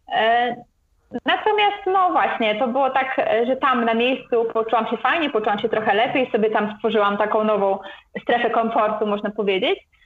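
A woman has an ordinary speaking voice at a fairly high pitch with ordinary variation. She keeps a moderate pace at very even loudness. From Poland, Gdańsk. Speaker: travel blogger. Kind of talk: interview.

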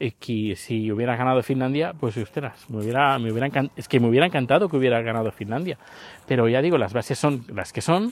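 A very fast-talking man with ordinary pitch variation. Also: medium pitch for a man. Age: 50s. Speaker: podcaster. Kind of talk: casual monologue vlog. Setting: outdoors, walking the dog. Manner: halting, with many fillers.

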